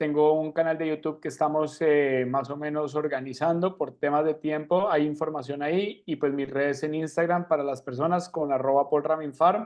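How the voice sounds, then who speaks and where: A man with a plain, everyday voice speaks at a moderate pace in a fairly high pitch, his intonation fairly even and hardly any pauses breaking it up. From Argentina. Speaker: financial mindset coach, speaker. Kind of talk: online talk.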